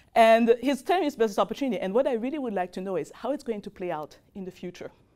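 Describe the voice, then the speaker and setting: Very fast speech in a dark, mellow tone, with very wide pitch swings and big swings in loudness. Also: woman, fairly high pitch for a woman. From Martinique, Caribbean. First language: French. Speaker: professor. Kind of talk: lecture. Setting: classroom with audience. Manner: fast when excited; animated.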